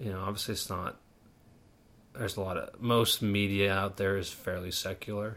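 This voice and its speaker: A man with an American accent speaks at a fairly low pitch in a monotone, flat intonation. He leaves long, frequent pauses. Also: moderate pace. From Pittsburgh, Pennsylvania. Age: 20s. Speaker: podcast host, engineer and part-time pilot. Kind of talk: casual interview.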